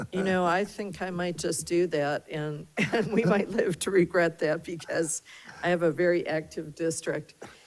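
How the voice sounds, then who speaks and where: Over noticeable background noise, a woman speaks with fairly even intonation at a fairly low pitch. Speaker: board chair. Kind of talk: public meeting discussion. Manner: slow; hesitant, many fillers.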